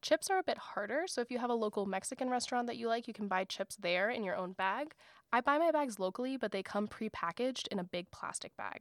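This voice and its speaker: A woman's fairly high voice, an ordinary speaking voice, with an American accent, lively intonation and a fairly quick pace, in a very clean, dry, close recording with a silent background and no echo. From US South, South Florida. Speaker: podcast host, graduate student. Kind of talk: scripted solo podcast talk.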